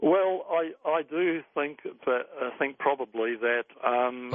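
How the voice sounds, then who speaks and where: A fairly high-pitched man at a very slow pace, with ordinary pitch variation. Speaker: interview guest, investigator.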